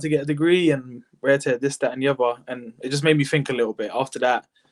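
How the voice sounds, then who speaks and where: A man speaks fairly quickly at a medium pitch with fairly even intonation. The recording is very clean, with a silent background and a dry, close sound with no echo. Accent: London. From Southeast London. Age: 20s. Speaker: football coach. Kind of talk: interview. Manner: hesitant.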